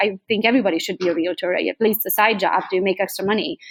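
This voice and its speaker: In a very clean recording with a silent background, a woman with a Hungarian accent talks at a very fast pace, medium in pitch, with fairly even intonation. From Transylvania, Romania (Hungarian). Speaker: real estate agent. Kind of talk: podcast interview.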